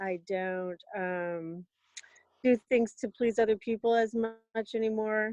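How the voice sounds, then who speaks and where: A woman with an unremarkable speaking voice talks at a moderate pace with fairly even intonation, in dry, close sound with no echo. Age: 50s. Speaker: panel guest. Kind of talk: casual chat.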